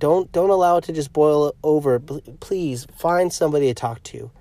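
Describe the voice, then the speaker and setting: The man's tone is dark and mellow, with ordinary pitch variation. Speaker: podcast host, pastor and comedian. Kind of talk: fervent pastoral appeal urging listeners to seek help. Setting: recording alone in a parked car, traffic audible. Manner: earnest, pleading and insistent with repeated imperatives; halting, with frequent fillers and self-restarts.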